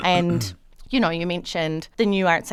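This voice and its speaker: A woman with a New Zealand accent talks at a moderate pace and a fairly low pitch, with ordinary pitch variation, in a very clean recording with a silent background. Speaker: documentary director. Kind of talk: radio interview.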